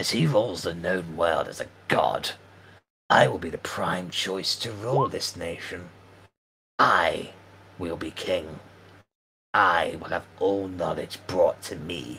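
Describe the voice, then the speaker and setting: In a put-on character voice, a man growls and hisses, raspy and very deep in pitch. He goes at a fairly slow pace with long, frequent pauses. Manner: furious, snarling, menacing.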